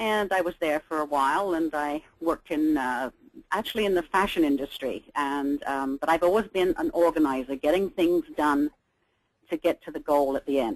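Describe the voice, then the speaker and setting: In an English accent, a woman with a very deep, low pitch speaks at a moderate pace with ordinary pitch variation, in a dry, close sound with no echo. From Great Britain. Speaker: downsizing business owner. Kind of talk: interview.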